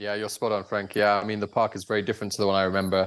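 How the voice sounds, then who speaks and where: A man with a British accent talks in a fairly low pitch. His intonation is monotone and flat, set against a quiet background. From UK. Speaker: safari camp owner. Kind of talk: interview.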